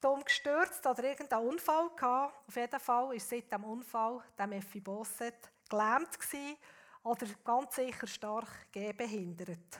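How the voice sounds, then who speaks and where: Her voice high in pitch, a woman speaks at a very slow pace with lively intonation and big swings in loudness. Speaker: guest preacher. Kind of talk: sermon.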